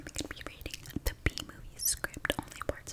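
A woman whispers at a fairly quick pace. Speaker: ASMR creator. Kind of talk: ASMR whisper reading. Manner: whispered. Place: home room. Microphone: studio mic.

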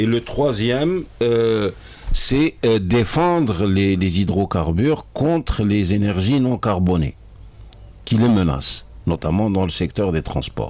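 Very slow and dry with no echo, a man's fairly low voice swings very widely in pitch. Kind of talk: interview answer. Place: studio. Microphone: studio mic.

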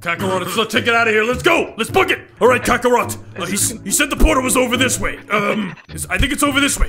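Over clear background noise, a man in a put-on character voice talks at an extremely high pitch and a very fast pace with hardly any pauses. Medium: role play. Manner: loud, exasperated, shouting.

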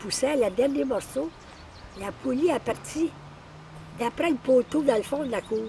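Over light background noise with a dry sound and no echo, a woman with a high pitch and lively intonation speaks at a moderate pace with long, frequent pauses. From Quebec. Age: 80s+. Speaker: elderly relative sharing family memories; elderly storyteller. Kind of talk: casual storytelling. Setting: cottage. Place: forest.

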